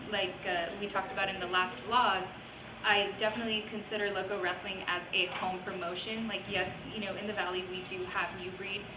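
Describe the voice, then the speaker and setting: A woman with an American accent keeps a fairly quick pace against noticeable background noise. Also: medium pitch for a woman. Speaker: wrestling ring announcer. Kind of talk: interview answer. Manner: upbeat, enthusiastic.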